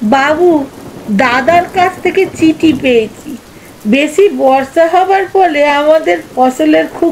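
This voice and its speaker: Over clear background noise, a high-pitched put-on character voice speaks at a fairly slow pace. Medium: read story. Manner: deferential, chatty, calls master "babu".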